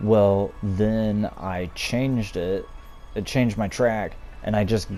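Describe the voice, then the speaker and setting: This is a man with a fairly low pitch. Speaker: gaming video creator. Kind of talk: casual gameplay commentary. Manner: slow.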